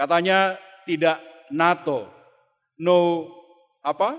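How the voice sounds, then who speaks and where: Spoken with an Ambonese accent, the voice moves at a very slow pace with fairly even intonation. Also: man. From Ambon, eastern Indonesia. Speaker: pastor and theology lecturer. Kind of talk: sermon.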